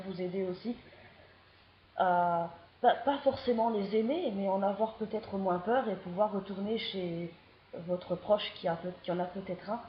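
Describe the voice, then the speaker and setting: With a slight Belgian accent, a woman talks at a moderate pace in a medium pitch, her intonation fairly even and background noise noticeable. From Belgium. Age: 20s. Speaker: vlogger. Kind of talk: casual vlog monologue. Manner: halting, with hesitations.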